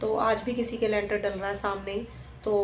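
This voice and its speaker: There's noticeable background noise and audible room echo around this woman's voice. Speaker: vlogger and mother. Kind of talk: casual vlog narration. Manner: soft-spoken.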